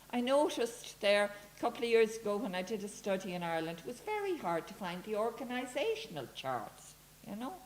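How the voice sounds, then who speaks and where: In a room with audible echo, a woman talks at a fairly quick pace, her fairly high voice carrying lively intonation. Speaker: academic speaker. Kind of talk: conference talk. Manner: animated.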